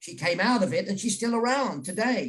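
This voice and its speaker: In a British accent, a man speaks with ordinary pitch variation. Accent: British, unchanged. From England. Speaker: journalist and author. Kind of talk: interview on virtual event. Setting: video call.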